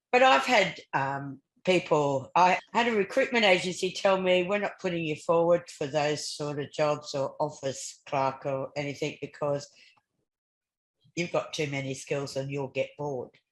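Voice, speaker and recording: A woman with an Australian accent, very deep and low in pitch, lively intonation, moderate pace. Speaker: talk show co-host. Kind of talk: interview discussion.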